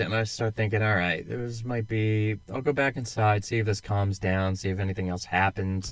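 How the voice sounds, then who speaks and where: Recorded very cleanly against a silent background, a man with an American accent and a fairly low pitch speaks at a moderate pace in a monotone, flat intonation. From United States. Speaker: podcast co-host, military veteran. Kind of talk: casual chat.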